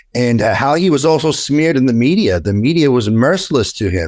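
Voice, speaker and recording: On a very clean recording with a silent background, a man with a New York accent talks at a moderate pace in an animated tone. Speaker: attorney. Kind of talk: interview. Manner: animated, with frequent repetitions.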